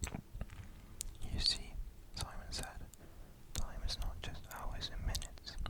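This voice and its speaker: Whispering, a man speaks at a fairly slow pace with long, frequent pauses. Noticeable background noise runs underneath. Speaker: ASMR creator. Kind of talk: sleep story, bedtime story reading. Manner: whispered, soft-spoken.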